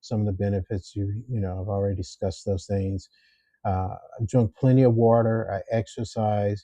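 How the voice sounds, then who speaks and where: A somewhat breathy man with a fairly low pitch, fairly even intonation and a moderate pace. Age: 60s. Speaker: YouTuber, retiree sharing health tips. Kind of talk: casual vlog monologue. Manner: frequent filler words and self-repeats.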